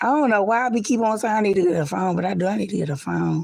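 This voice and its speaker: A woman speaks loudly. Her pace is fairly quick. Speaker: live streamer. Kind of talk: casual live stream chat. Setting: livestream, lying down.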